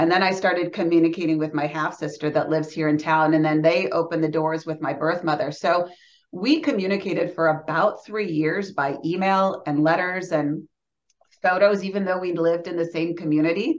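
Here is a woman with a plain, everyday voice, fairly low in pitch, talking at a fairly quick pace. Her intonation is fairly even, and the background is quiet. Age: 40s. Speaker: abortion survivor and pro-life advocate. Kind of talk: testimony.

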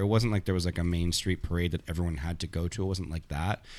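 A man with a Toronto accent speaks in a very deep, low voice on a very clean recording with a silent background. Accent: Canadian (Toronto area). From Canada, Thornhill near Toronto. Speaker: comedian. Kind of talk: casual chat.

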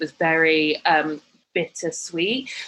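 In a British accent, a woman speaks at a very slow pace. Her pitch is fairly low. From UK. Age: 30s. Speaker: fashion and lifestyle blogger. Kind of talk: casual interview chat.

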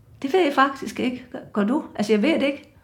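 A woman talks at a fairly quick pace with ordinary pitch variation, and audible room echo surrounds her voice. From Djursland, Denmark. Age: 70s. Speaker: retired slogan competition winner. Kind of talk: casual interview.

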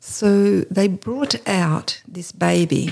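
Recorded very cleanly against a silent background, a woman speaks in an Australian accent. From Australia, New South Wales. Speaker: charity founder. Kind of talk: interview.

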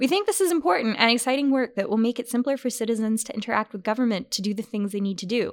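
Over a silent background on a very clean recording, a woman uses a normal speaking voice, fairly high in pitch with lively intonation. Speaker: podcast host. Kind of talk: casual quiz chat.

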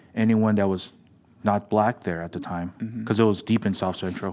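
A man with an American accent, a plain, everyday voice and a fairly low pitch talks at a fairly quick pace with fairly even intonation on a very clean recording with a silent background. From Los Angeles, US. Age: 40s. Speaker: jiu jitsu school owner. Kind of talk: casual chat.

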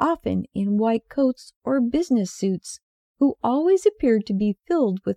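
Plain reading aloud with lively intonation comes through over a quiet background.

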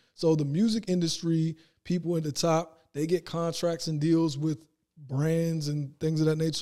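A man with an ordinary speaking voice talks at a moderate pace, fairly high in pitch, with fairly even intonation. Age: 30s. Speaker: entrepreneur. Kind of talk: casual chat.

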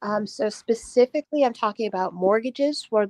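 A normal speaking voice from a woman, moderate pace and ordinary pitch variation, in a dry, close sound with no echo. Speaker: caller, aspiring real estate investor. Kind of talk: call-in advice conversation.

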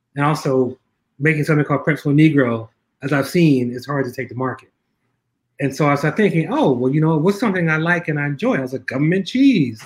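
A man speaks at a very fast pace with an American accent, his voice somewhat breathy. His pitch sits fairly high for a man, with ordinary pitch variation. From US Northeast, North Philadelphia. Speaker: filmmaker and keynote speaker. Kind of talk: interview.

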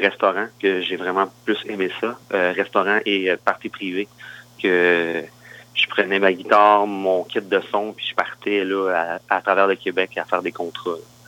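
In a Quebec accent, a man with a fairly low pitch speaks very slowly in a flat, monotone way. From Quebec, Granby area. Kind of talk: interview. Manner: halting.

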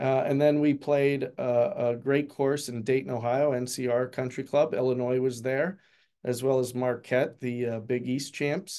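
A man's dark, mellow, medium-pitched voice with an American accent and monotone, flat intonation. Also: moderate pace, quiet background. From Pennsylvania. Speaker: college golf coach. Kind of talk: interview.

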